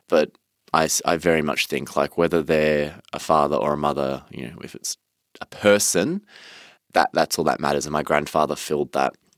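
A man's very deep, low voice with vocal fry and an Australian accent, dry and close with no echo, on a very clean recording with a silent background. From Melbourne, Australia. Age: 20s. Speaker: interviewee sharing mental health story. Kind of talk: personal testimony in interview.

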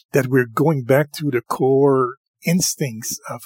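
A man speaks at a fairly high pitch over background music, the sound dry and close with no echo. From Quebec. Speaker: podcast host. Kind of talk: casual chat.

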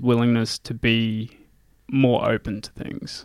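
In an Australian accent, a man speaks at a very slow pace. The sound is dry and close, with no echo. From Australia, regional Queensland (Gladstone). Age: 20s. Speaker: mountain climber and engineer. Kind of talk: casual interview.

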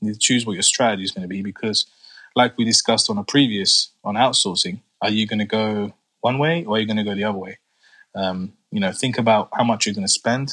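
A man with a London accent, fairly low in pitch, very fast and fairly even in intonation, in a dry, close sound with no echo. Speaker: construction business owner. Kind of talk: casual chat.

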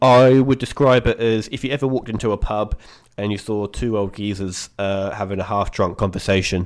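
A man in an English accent with a fairly low pitch and fairly even intonation, captured in a very clean recording with a silent background. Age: 20s. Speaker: podcast guest. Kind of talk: casual chat.

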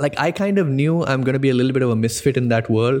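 Speaking at a fairly quick pace, a man with an American accent has a dark, mellow tone and ordinary pitch variation. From India (Delhi, Bangalore), long in Singapore. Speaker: entrepreneur. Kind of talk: interview. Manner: hesitant with fillers.

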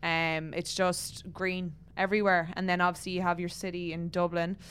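The voice carries an Irish accent with monotone, flat intonation. The recording is very clean, with a silent background. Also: woman. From Ireland. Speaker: professional footballer. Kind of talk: casual interview.

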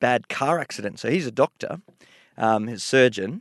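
In a normal speaking voice of medium pitch, a man talks at a fairly quick pace with lively intonation, the sound dry and close with no echo against a quiet background. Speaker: medical researcher. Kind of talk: interview.

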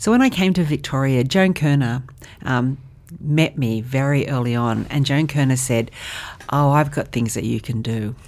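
In an Australian accent, a woman with a very deep, low pitch talks at a moderate pace with ordinary pitch variation. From Australia, western Sydney. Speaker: charity CEO. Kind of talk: podcast interview.

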